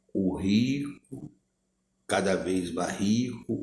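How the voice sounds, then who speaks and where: The speaker is a man. His tone is dark and mellow. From Brazil, Minas Gerais. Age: 60s. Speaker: lay preacher. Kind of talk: sermon. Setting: recorded video.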